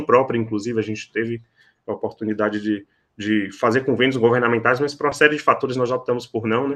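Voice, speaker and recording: A man's bright, sharp voice at medium pitch, very fast and fairly even in intonation. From Salvador, Bahia, Brazil. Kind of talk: podcast interview. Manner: frequent fillers and repetitions.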